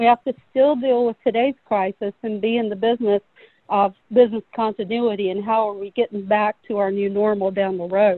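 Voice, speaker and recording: Here is a woman with a normal speaking voice in an American accent. Her pitch sits fairly high. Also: fairly quick pace. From North Carolina. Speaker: corporate safety manager. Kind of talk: panel discussion.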